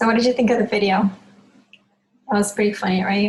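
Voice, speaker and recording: In a Spanish accent, a woman speaks at a medium pitch with monotone, flat intonation and a somewhat breathy quality. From Cuba. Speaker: Spanish teacher. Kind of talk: online lesson.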